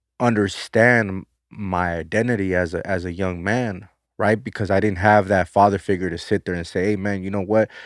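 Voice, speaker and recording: A man with an American accent speaks at a moderate pace in a fairly low, monotone, flat voice, recorded very cleanly with a silent background and a dry, close sound with no echo. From South Central Los Angeles. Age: 30s. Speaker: former prisoner. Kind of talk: interview testimony.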